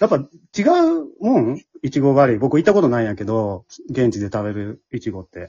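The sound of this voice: Lively intonation and a fast pace mark this man's medium-pitched voice. His tone is dark and mellow, with a slightly husky edge.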